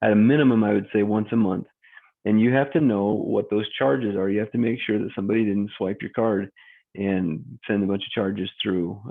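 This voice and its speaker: An unremarkable speaking voice with ordinary pitch variation, at a fairly quick pace. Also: man, fairly low pitch for a man. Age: 40s. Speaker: mortgage broker. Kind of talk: casual talk to camera.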